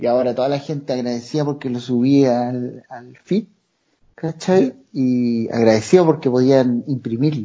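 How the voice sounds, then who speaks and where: A man talks with a Chilean accent. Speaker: comedy video creator. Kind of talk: casual chat.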